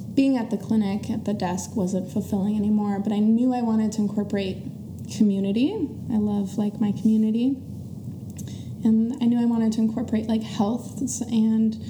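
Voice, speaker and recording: A woman's fairly high, monotone, flat voice at a fairly quick pace, with noticeable background noise and audible room echo. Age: 20s. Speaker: small business owner. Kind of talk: casual chat.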